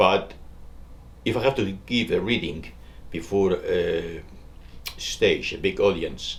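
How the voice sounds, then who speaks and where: A man with a strong Spanish accent, at a fairly slow pace. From Spain. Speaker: author and poet. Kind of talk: interview. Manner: slow, deliberate.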